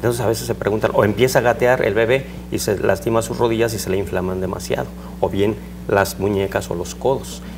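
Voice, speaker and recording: Noticeable background noise sits under a man whose fairly low voice makes very wide pitch swings at a fairly quick pace. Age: 60s. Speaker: surgeon. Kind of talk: interview.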